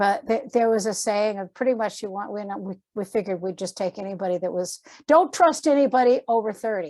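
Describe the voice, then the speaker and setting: With an American accent, a woman talks at a medium pitch and a fairly quick pace, her intonation lively, her tone dark and mellow, hardly pausing, over a quiet background. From Massachusetts. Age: 60s. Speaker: artist and art teacher. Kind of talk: casual interview chat.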